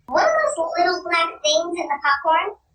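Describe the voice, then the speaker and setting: An extremely high, squeaky, put-on character voice at a moderate pace. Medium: read story. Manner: snappy, fussy.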